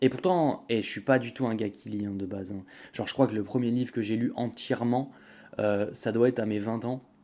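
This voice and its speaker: Speaking at a fairly quick pace, a man with a medium-pitched voice and a dark, mellow tone keeps his intonation fairly even. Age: 20s. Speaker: podcast host. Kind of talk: casual monologue. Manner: halting.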